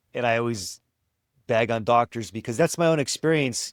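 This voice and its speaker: An unremarkable speaking voice with ordinary pitch variation, caught in a very clean recording with a silent background and a dry, close sound with no echo. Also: man. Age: 40s. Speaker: vegan podcast host. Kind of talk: casual interview conversation.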